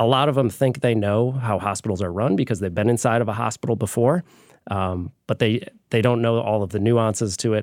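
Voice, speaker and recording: A man with an American accent speaks at a fairly quick pace in an ordinary speaking voice, with medium pitch, ordinary pitch variation, and a very clean recording over a silent background. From southwest Michigan, US. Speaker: hospital association lobbyist. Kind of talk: casual interview.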